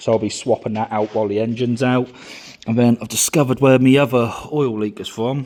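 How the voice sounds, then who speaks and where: Flat and monotone, the speech comes very fast in a British accent amid noticeable background noise. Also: man, medium pitch for a man. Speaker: car mechanic hobbyist. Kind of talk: tutorial. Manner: casual.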